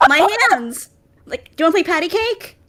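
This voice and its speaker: This put-on character voice is squeaky and moves at a fairly quick pace. Its pitch swings very widely. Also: woman, extremely high pitch for a woman. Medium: actual play.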